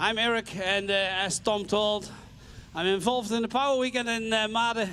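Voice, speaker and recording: A man with a Dutch accent uses a raised, projected voice at a high pitch, bright and sharp in tone, with fairly even intonation and very even loudness. He keeps a moderate pace in a very clean recording with a silent background. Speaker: tractor pulling event organiser and co-commentator. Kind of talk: live commentary. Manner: halting.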